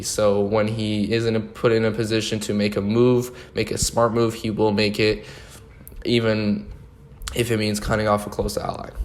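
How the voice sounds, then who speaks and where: Room echo is audible around a man's voice. He speaks in a flat monotone at a fairly low pitch. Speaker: online game show host. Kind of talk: solo commentary video. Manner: fast; casual, filler-heavy.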